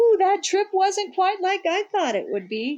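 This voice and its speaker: A woman puts on a squeaky character voice, extremely high in pitch. She talks at a moderate pace. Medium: read story. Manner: upbeat, chatty.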